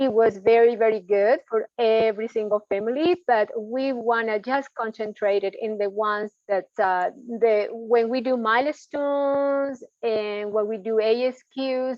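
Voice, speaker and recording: At a fairly slow pace with hardly any pauses, an unremarkable speaking voice carries fairly even intonation. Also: woman, fairly high pitch for a woman. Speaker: home visiting program staff. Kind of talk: work meeting update.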